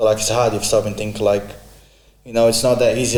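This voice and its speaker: Medium in pitch, a man's voice carries fairly even intonation. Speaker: podcast guest. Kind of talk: casual chat.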